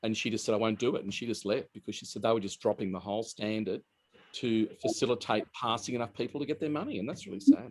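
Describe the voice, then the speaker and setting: Speaking very fast in an Australian accent, a man uses medium pitch with ordinary pitch variation. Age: 60s. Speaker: hairdresser. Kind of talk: interview.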